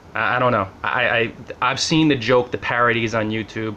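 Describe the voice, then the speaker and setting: In a New Jersey accent, a man talks at a fairly quick pace, his medium-pitched voice bright and sharp in tone. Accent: mild New Jersey. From Central New Jersey, US. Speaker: blogger. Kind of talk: casual vlog monologue. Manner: casual, conversational.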